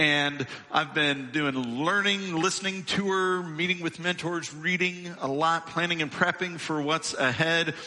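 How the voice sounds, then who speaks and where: With a high pitch, a man speaks at a fairly slow pace, with hardly any pauses and fairly even intonation. There is noticeable background noise. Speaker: lead minister. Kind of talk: church welcome and introduction. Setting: church.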